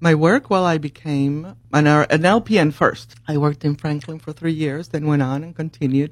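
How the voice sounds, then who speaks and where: Speaking with a Spanish accent, a woman uses a very deep, low pitch with fairly even intonation at a moderate pace. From Puerto Rico. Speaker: nurse. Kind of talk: casual chat.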